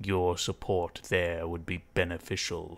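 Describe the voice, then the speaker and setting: A man speaks in a raspy, very deep, low voice. His delivery is monotone and flat at a fairly slow pace. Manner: suspicious, formal.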